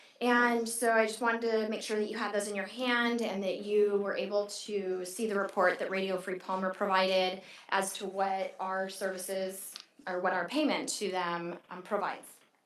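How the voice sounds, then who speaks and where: Audible room echo surrounds speech at a moderate pace with fairly even intonation. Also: woman, medium pitch for a woman. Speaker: city clerk. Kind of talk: council meeting presentation. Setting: council chamber meeting. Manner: hesitant with fillers.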